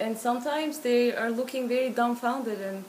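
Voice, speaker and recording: Over noticeable background noise, a woman with a Turkish accent talks at a moderate pace. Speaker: interviewee. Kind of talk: interview.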